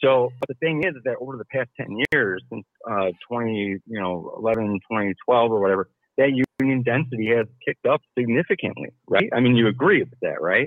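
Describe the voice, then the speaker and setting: A plain, everyday voice: a man with an American accent, medium pitch, ordinary pitch variation and a moderate pace. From Milwaukee, Wisconsin. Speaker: caller, union member. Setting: phone call.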